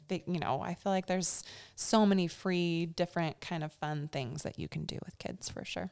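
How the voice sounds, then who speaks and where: In a very clean recording with a silent background, a woman uses a normal speaking voice, fairly low in pitch, at a moderate pace with fairly even intonation. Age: 30s. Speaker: mother and small business owner. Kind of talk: casual interview.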